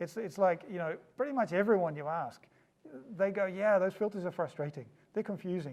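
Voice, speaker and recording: A man speaks with a slight New Zealand accent at a fairly quick pace. His pitch is high, with ordinary variation. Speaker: startup founder. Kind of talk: interview. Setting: office.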